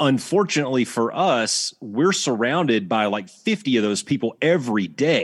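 With an Alabama accent, a man speaks at medium pitch with very wide pitch swings, very even loudness and hardly any pauses against a quiet background. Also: moderate pace. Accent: Southern US (Alabama). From US South, Alabama. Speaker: retired Air Force fighter pilot instructor. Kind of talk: casual interview.

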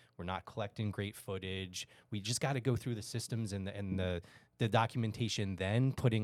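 Speaking fairly quickly, a man with an unremarkable speaking voice uses a fairly low pitch and ordinary pitch variation, in a very clean recording with a silent background. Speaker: restaurant franchise manager. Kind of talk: casual business discussion.

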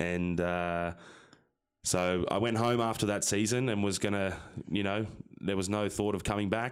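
In an Australian accent, a man talks fairly quickly at a fairly low pitch with fairly even intonation, on a very clean recording with a silent background. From Sydney, Australia. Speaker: professional rugby player. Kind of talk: interview.

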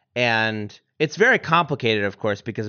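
A man with a plain, everyday voice talks at a fairly quick pace and medium pitch. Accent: American. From US, northern Vermont. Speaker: musician and podcast co-host. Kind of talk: casual interview chat.

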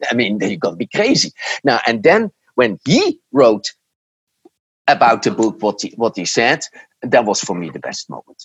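A man's moderate tempo, long, frequent pauses, and loudness that swings widely. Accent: Dutch. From Netherlands. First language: Dutch. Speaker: marketing professor and author. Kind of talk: interview. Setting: remote call from home. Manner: halting.

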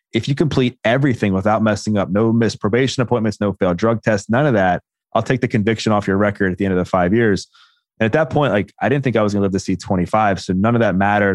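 Over a quiet background, a man with an American accent talks at a very fast pace in a fairly low voice, with very even loudness and ordinary pitch variation. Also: dry, close sound with no echo. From Baltimore, US. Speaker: personal trainer and former addict. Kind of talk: interview testimony.

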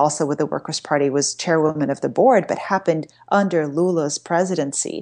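Against a quiet background, a woman with a very deep, low voice speaks at a moderate pace. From Brazil. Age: 40s. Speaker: journalist and author. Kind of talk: interview. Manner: halting, with many fillers.

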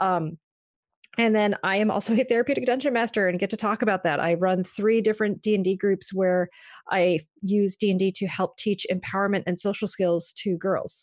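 A woman with an ordinary speaking voice at medium pitch, fairly quick in pace, with fairly even intonation and very even loudness, against a quiet background. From US Northeast, Maine. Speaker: psychologist. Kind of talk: interview.

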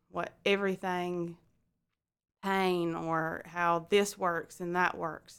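A woman speaks very slowly in a Southern US accent, her pitch fairly low and her intonation monotone and flat. The recording is very clean, with a silent background. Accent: Southern US (Georgia). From US South, Georgia. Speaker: medical imaging worker sharing infertility story. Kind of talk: personal testimony in interview.

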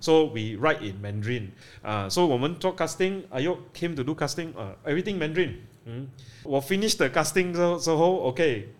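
In a Malaysian accent, a man talks fairly quickly at a fairly high pitch with very wide pitch swings, on a very clean recording with a silent background. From Malaysia, Penang. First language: English (speaking Chinese). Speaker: film director. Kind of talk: interview. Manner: halting, code-switching.

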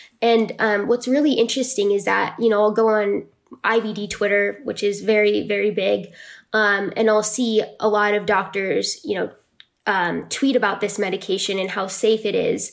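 A woman speaks at a moderate pace with medium pitch and fairly even intonation. It is an ordinary speaking voice. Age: 20s. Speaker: patient advocate. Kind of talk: interview.

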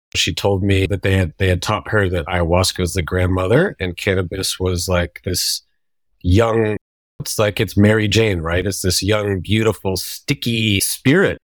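An ordinary speaking voice comes from a man talking at a moderate pace and a fairly low pitch with fairly even intonation, the sound dry and close with no echo on a very clean recording with a silent background. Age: 30s. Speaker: tattoo and visual artist. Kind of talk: casual chat.

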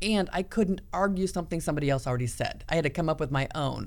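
A normal speaking voice from a woman with an American accent, fairly low in pitch, with lively intonation. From US Midwest, small-town Iowa. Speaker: podcast host, leadership coach. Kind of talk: casual chat.

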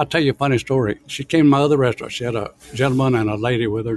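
The speaker talks at a very fast pace with a Southern US accent. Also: man. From US South, Alabama. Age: 80s+. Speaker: restaurant owner. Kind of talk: interview.

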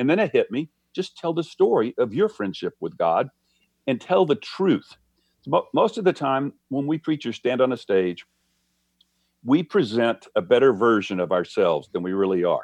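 A man with a fairly high pitch and vocal fry talks at a moderate pace with very wide pitch swings, recorded dry and close with no echo against a quiet background. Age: 70s. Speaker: pastor and author. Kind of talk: interview. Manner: candid, reflective storyteller.

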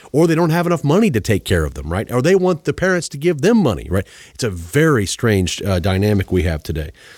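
On a very clean recording with a silent background, a man speaks at a very fast pace with very wide pitch swings. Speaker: finance podcast host and author. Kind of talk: interview. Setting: in-person studio.

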